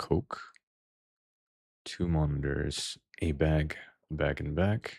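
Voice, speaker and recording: A man's very deep, low voice, very slow and fairly even in intonation, with long, frequent pauses and a dry, close sound free of echo. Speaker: vtuber gaming streamer. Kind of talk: live gameplay stream chat. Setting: live stream. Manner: quiet, sometimes hard to hear.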